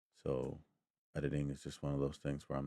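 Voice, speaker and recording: This man has a very deep, low pitch. He talks at a very fast pace. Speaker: MMA analyst, channel host. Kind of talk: fight breakdown monologue. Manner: casual, hesitant with fillers.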